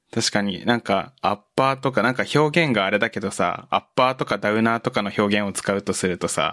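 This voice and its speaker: The delivery is fairly quick with hardly any pauses, the tone bright and sharp. The sound is dry and close with no echo, and the pitch varies in an ordinary way. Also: man, fairly low pitch for a man. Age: 20s. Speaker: software engineer. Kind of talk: casual chat.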